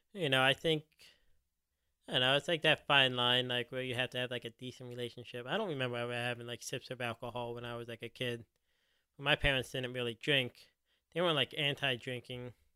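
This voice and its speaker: This man has an American accent and a medium pitch. He talks at a very fast pace with fairly even intonation. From US Northeast, Philadelphia. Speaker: podcast host. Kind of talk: casual chat.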